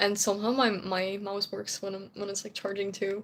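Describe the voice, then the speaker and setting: A woman speaks at a medium pitch with a Dutch accent. Her pace is moderate. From Netherlands. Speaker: streamer, cosplayer. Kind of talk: casual live stream chat. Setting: home live stream. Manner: rambling, chatty with fillers.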